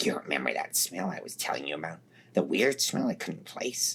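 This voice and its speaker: A put-on character voice, pitched low and delivered at a fairly quick pace. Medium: read story. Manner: blunt, profane.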